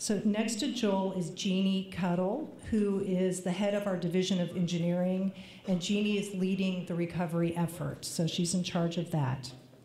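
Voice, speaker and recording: A woman's medium-pitched voice with fairly even intonation, very even loudness and hardly any pauses, plus audible room echo and noticeable background noise. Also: moderate pace. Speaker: water agency official. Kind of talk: public meeting remarks.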